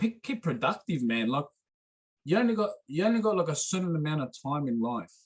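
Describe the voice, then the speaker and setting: The man's speech moves along fairly quickly. His voice leaps between very high and very low pitches. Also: fairly high pitch for a man. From Sydney, Australia (Cronulla). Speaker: adult store manager. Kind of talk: podcast interview. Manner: animated.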